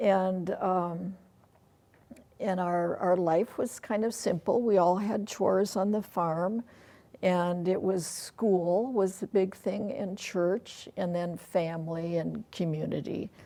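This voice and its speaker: A woman's dark, mellow voice with an Upper Midwest accent, fairly even intonation and a very slow pace. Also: medium pitch for a woman. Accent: Upper Midwest American. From rural Iowa. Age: 70s. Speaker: interview guest. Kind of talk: casual interview.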